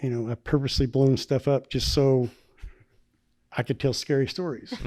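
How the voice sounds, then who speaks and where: Speaking at a moderate pace with a Southern US accent, a man has a dark, mellow tone and fairly even intonation. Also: medium pitch for a man. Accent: Southern twang. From US South, northwest Arkansas. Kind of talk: casual chat.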